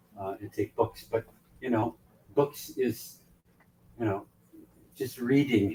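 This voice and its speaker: At a very slow pace with long, frequent pauses, a man speaks at medium pitch in a dark, mellow, somewhat breathy tone with ordinary pitch variation. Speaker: ship director and leadership speaker. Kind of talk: motivational talk. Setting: on board a ship, event venue. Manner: animated.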